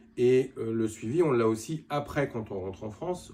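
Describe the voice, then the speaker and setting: Dark, mellow tone in a man's somewhat breathy voice. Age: 60s. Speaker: cosmetic surgery patient. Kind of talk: testimony. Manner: halting.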